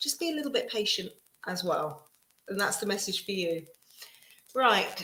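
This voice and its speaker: A woman with an English accent, fairly high in pitch, with a bright, sharp tone. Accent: very English. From England. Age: 50s. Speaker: tarot reader. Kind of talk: live stream tarot reading. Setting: live stream. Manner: animated.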